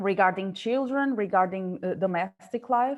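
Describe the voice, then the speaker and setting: In a Portuguese accent, a woman talks at a medium pitch with ordinary pitch variation. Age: 30s. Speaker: radio sports reporter and union board member. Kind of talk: webinar panel discussion. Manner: halting.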